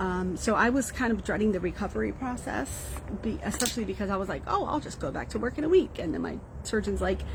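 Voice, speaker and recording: A woman speaks at a very fast pace. Noticeable background noise runs under her voice. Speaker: social media user giving personal update. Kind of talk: casual live video update.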